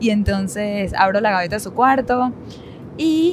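Her intonation is lively, her pitch medium, and her pace very slow. Noticeable background noise is present behind this woman. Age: 30s. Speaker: podcast co-host. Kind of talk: casual chat.

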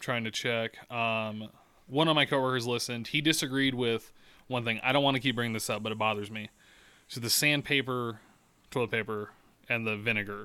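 His tone bright and sharp, a man with a medium pitch speaks at a fairly quick pace with fairly even intonation. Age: 20s. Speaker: podcast co-host. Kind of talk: casual chat. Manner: profane, candid.

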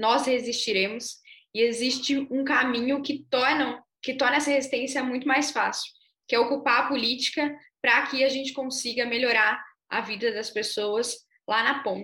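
High-pitched woman's voice at a moderate pace, with fairly even intonation. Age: 20s. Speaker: city councillor. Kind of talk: panel discussion.

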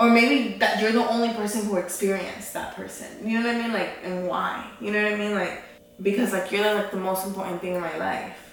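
Medium-pitched female speech at a fairly quick pace, fairly even in intonation, amid noticeable background noise. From California Central Valley. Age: 20s. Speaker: podcast host. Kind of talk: casual chat.

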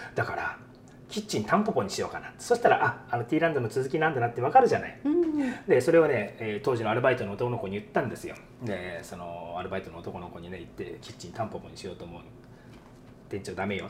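Over noticeable background noise, a man at medium pitch talks very fast with lively intonation and big swings in loudness. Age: 50s. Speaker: restaurant owner chef. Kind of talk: interview.

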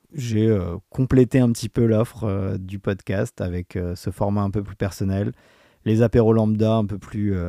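A dark, mellow tone with fairly even intonation moves at a fairly slow pace, in a dry, close sound with no echo on a very clean recording with a silent background. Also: man. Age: 40s. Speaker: podcast host, amateur runner. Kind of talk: solo podcast monologue. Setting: studio microphone. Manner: hesitant, many fillers.

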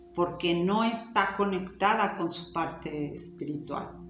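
A woman at a very slow pace, medium in pitch, with noticeable background noise. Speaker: spiritual teacher. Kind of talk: talk and guided meditation. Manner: soft-spoken.

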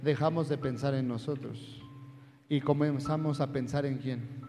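This man has a fairly high, somewhat breathy voice with a dark, mellow tone, speaking at a moderate pace over audible room echo. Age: 30s. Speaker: pastor. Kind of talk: sermon. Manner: animated.

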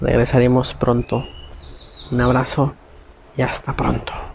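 A man speaks at a fairly slow pace. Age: 20s. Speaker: podcast host. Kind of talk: solo monologue on conspiracy theories. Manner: halting, self-correcting.

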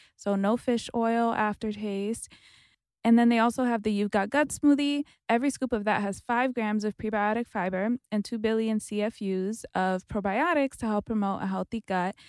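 Speech comes at a moderate pace. The recording is very clean with a silent background, dry and close with no echo. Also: woman, fairly high pitch for a woman. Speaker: podcast co-host. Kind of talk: casual chat. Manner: animated.

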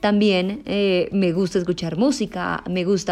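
Her pitch lands in the medium range. This is a woman speaking. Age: 20s. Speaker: podcast host. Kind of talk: casual monologue. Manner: animated.

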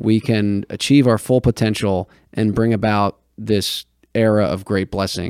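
A man speaks in a plain, everyday voice, fairly low in pitch and at a fairly slow pace, with fairly even intonation. The sound is dry and close with no echo, and the recording is very clean over a silent background. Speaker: podcast host and editor. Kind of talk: casual interview discussion on theology.

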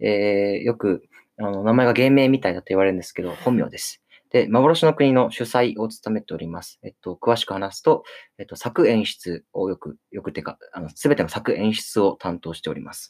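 The sound is dry and close with no echo as a man talks at a moderate pace. His intonation is lively, with big swings in loudness. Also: fairly low pitch for a man. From Okinawa, Japan. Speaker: theater troupe leader and playwright-director. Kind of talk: casual radio chat. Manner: halting, many fillers.

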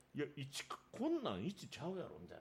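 A man at a fast pace, with fairly high pitch, very wide pitch swings, vocal fry and a husky, rough edge

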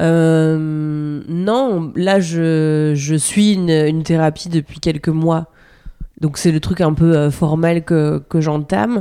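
A woman speaks at a very slow pace with a very deep, low pitch and a dark, mellow tone. Her loudness stays very even, and her pitch varies in an ordinary way. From France, rural Normandy. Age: young. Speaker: comedian. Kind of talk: casual interview. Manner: halting, with many repetitions.

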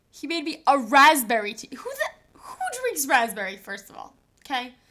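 A raised, projected voice at a fairly quick pace, with lively intonation. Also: woman. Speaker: podcast co-host. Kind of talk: casual banter chat.

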